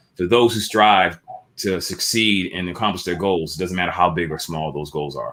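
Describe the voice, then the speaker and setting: With an American accent, a man speaks at a very deep, low pitch with ordinary pitch variation. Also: moderate pace. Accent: Boston accent, comes out once in a while. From Boston, Massachusetts (Dorchester). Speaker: entrepreneur and clothing brand founder. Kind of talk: interview conversation. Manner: casual, with many fillers and restarts.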